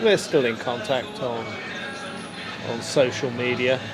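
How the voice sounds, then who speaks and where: A man with an English accent at a fairly slow pace, with audible room echo and noticeable background noise. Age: 70s. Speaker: vlogger. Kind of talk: casual monologue vlog. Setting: sitting at a bar. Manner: hesitant, many fillers.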